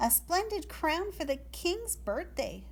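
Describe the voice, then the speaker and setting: Fairly slow, put-on character voice against clear background noise. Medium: read story. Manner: sweet, polite.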